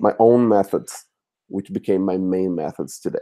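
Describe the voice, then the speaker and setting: This man's voice sits fairly low and moves at a moderate speed. A dark, mellow tone colors it. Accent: Brazilian. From Brazil. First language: Portuguese. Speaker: language teacher. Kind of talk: live chat interview. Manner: halting, many fillers.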